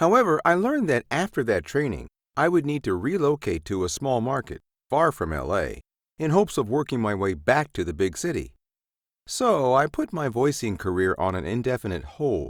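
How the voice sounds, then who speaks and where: This man has a medium pitch with very wide pitch swings and vocal fry, speaking at a moderate pace. The recording is very clean with a silent background and a dry, close sound with no echo. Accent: American. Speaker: voice actor and narrator. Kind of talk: scripted narration.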